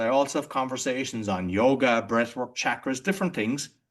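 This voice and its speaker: With an Irish accent, a man talks at a moderate pace over a quiet background. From Ireland. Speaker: entrepreneur and podcaster. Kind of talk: interview conversation. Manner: halting, with frequent restarts.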